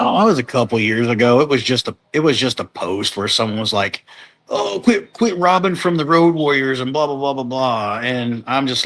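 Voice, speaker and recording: Speaking with a normal speaking voice, a man holds a medium pitch with ordinary pitch variation. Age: 40s. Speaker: professional wrestler. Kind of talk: casual chat. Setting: live podcast.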